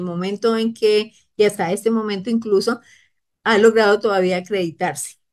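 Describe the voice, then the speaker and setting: A woman speaks at a fairly slow pace with fairly even intonation against a quiet background. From Costa Rica. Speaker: government official. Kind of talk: expert explanation on a radio program. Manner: halting. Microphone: video call.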